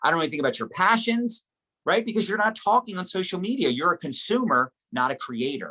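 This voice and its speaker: A man with a high voice talks at a very fast clip in a raised, projected voice, his pitch swinging very widely and his tone bright and sharp, all in a dry, close sound with no echo. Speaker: network marketing trainer. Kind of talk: motivational training talk. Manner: animated.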